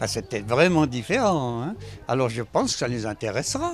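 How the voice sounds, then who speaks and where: Music plays in the background as a man speaks at a moderate pace. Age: 80s+. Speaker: elderly local resident. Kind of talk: interview. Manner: halting, repetitive.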